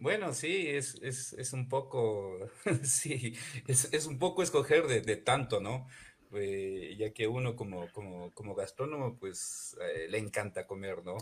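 A man with lively intonation at a very slow pace. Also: medium pitch for a man. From Ecuador, Imbabura (Ibarra). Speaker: chef. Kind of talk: radio interview. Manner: hesitant, many repetitions.

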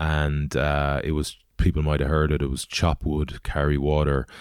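Someone with a western Irish accent speaks at a moderate pace on a very clean recording with a silent background. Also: man. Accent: Irish (west of Ireland). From Galway, Ireland. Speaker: former rugby player and extreme adventurer. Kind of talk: interview. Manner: halting.

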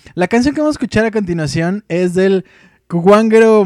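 The pitch of this man's voice varies in an ordinary way. It is a very clean recording with a silent background. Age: 30s. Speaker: radio host. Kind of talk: casual chat.

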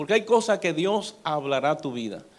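A man with a Dominican accent talks at a fairly slow pace. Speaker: pastor. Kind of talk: sermon.

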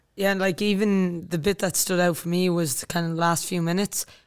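In a very clean recording with a silent background, a woman with an Irish accent speaks in a fairly low, flat monotone. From Ireland. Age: 20s. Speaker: army officer and soccer player. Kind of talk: casual interview.

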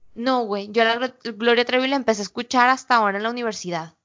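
This is a woman with a normal speaking voice, pitched fairly high. She moves at a fairly quick pace with ordinary pitch variation. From Mexico, Sinaloa. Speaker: podcast co-host. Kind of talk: casual chat.

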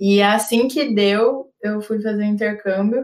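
A woman's medium-pitched voice, fairly even in intonation, at a moderate pace. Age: 20s. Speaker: product manager, former startup founder. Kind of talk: podcast interview.

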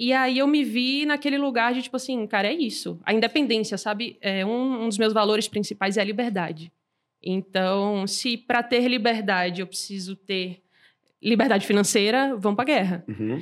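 A woman with a fairly high pitch speaks in an unremarkable speaking voice at a moderate pace, using ordinary pitch variation. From Brazil, Salvador (Bahia). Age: 20s. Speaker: startup founder and CEO, angel investor. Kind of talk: casual interview.

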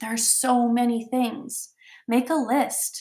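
This woman has a fairly high pitch. Her tone is animated. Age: 30s. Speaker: podcast host and personal development coach. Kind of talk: motivational solo talk.

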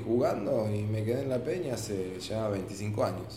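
There is audible room echo around this voice. The man speaks with a fairly low pitch. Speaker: photographer and photography teacher. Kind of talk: casual chat.

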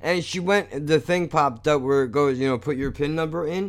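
A man uses a normal speaking voice, his intonation lively. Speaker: podcast host. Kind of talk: angry rant, profane, venting about money, doctors and warehouse store fees; casual solo monologue, self-deprecating rant. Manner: casual and unscripted, rambling with sighs and throat clears.

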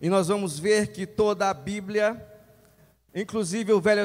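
The man's voice is high-pitched, with fairly even intonation. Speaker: lay preacher. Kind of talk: sermon. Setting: church.

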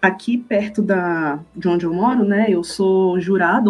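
A fairly slow, somewhat breathy delivery with fairly even intonation. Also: woman. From Brazil, Brasília. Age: 20s. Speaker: cosplayer and language teacher. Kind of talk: casual chat.

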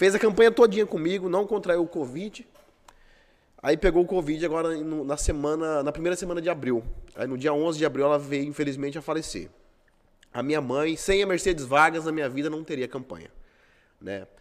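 Fairly high in pitch, a man talks at a fairly quick pace with ordinary pitch variation. He takes long, frequent pauses. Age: 30s. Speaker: city councillor and former police investigator. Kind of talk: casual interview.

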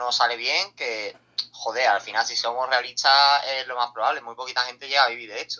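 His pitch lands in the medium range. The man's delivery stays monotone and flat. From Seville, Andalusia, Spain. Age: 20s. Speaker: streamer. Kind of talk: casual interview.

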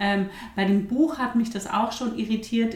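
Amid noticeable background noise and audible room echo, a woman with a fairly high pitch speaks with fairly even intonation. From Bavaria, mountain village. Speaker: midwife and hypnobirthing teacher. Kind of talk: podcast interview.

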